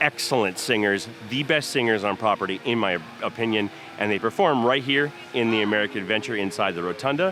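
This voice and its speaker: A man talks very fast at a medium pitch with ordinary pitch variation. Noticeable background noise is present. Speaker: theme park vlogger. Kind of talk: walking tour vlog.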